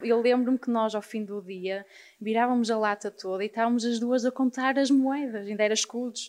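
Fairly high in pitch and fairly quick, a woman talks with a normal speaking voice and fairly even intonation. The recording is very clean, the background silent. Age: 20s. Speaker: artist and designer. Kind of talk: casual interview. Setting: live recording with audience.

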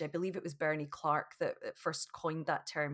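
A loud woman with a Scottish accent and a fairly low pitch speaks over a silent background in a very clean recording. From Scotland. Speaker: yoga teacher. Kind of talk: casual interview. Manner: laughs loudly.

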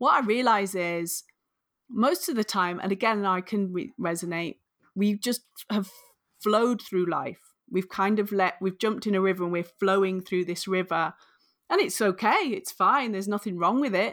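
The speaker has a northern English accent and a moderate pace, with ordinary pitch variation. The recording is very clean, with a silent background. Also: woman, medium pitch for a woman. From northern England. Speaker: author and career coach. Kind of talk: interview.

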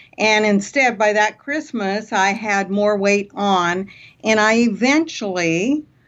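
The speech comes at a very slow pace. Its loudness stays very even. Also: woman, fairly high pitch for a woman, ordinary pitch variation. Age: 60s. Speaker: motivational speaker and radio host. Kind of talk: interview. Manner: enthusiastic.

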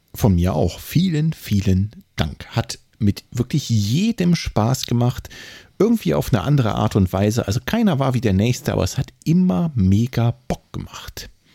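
Somewhat breathy, a man speaks at a medium pitch and moderate pace in a dark, mellow tone, his pitch swinging very widely, in a dry, close sound with no echo. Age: 30s. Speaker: running podcast co-host. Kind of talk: casual chat. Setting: remote recording.

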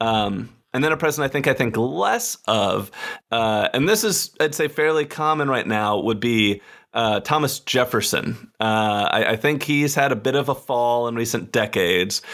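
Speaking in an American accent, a man has a plain, everyday voice at a medium pitch with ordinary pitch variation. He keeps a moderate pace and very even loudness. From Texas, Austin. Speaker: history podcast host. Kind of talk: casual interview chat. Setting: remote call recording.

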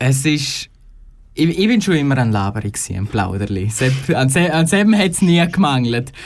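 At a moderate pace, a man with a Graubünden accent talks in a fairly high pitch that swings very widely. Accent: Graubünden Swiss German dialect. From Chur, Graubünden, Switzerland. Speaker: radio trainee. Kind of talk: radio interview.

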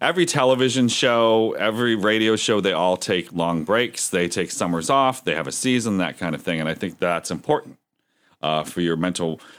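A plain, everyday voice from a man with an American accent, fairly low in pitch, with lively intonation at a moderate pace. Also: very clean recording, silent background. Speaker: podcast host. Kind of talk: casual chat.

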